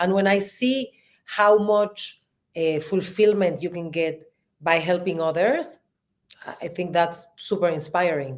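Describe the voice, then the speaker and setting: Speaking at a fairly slow pace with a strong Mexican accent, a woman's fairly low voice shows ordinary pitch variation. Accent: thick Mexican Spanish. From Mexico. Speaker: marketing executive and podcast co-host. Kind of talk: interview. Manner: animated.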